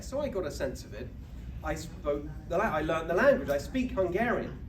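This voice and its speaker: Speaking at a fairly quick pace, a man with a British accent is heard with audible room echo and noticeable background noise. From England, UK. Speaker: political speaker. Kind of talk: speech to an audience. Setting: banquet stage with audience.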